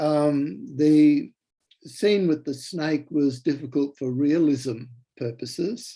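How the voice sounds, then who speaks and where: A man speaks very slowly with an Australian accent, his pitch fairly high. His tone is dark and mellow. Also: ordinary pitch variation. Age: 70s. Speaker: author. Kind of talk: interview. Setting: video call. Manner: halting.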